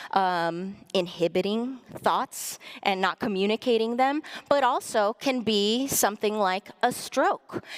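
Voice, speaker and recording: Speaking with a Spanish accent, a woman has a medium pitch and ordinary pitch variation. Her fairly slow delivery sounds dry and close, with no echo. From US-Mexico border, Nogales, Arizona. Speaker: bilingual speech language pathologist and lecturer. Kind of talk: public lecture. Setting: stage with audience in a hall.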